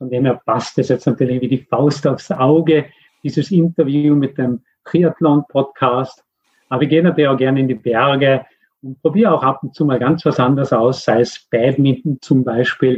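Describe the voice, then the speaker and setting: At a moderate pace, a man speaks in a normal speaking voice at a fairly high pitch. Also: fairly even intonation. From Austria. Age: 50s. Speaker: mindfulness coach for athletes. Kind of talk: interview. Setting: remote call.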